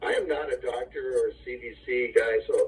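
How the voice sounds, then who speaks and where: A man with an Upper Midwest US accent speaks in a flat, monotone way. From Wisconsin, Kenosha. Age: 60s. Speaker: small-town mayor. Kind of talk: interview.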